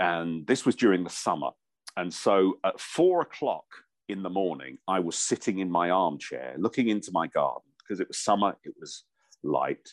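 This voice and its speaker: A man with an English accent speaks at a moderate pace in a very deep, low pitch with vocal fry. His intonation is lively, and the sound is dry and close with no echo. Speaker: voiceover artist and former radio presenter. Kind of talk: casual chat.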